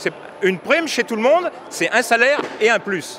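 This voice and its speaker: A man is speaking. Background noise is noticeable. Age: 60s. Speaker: farmer and union member. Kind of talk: street interview. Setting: agricultural fair. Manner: halting, with repetitions.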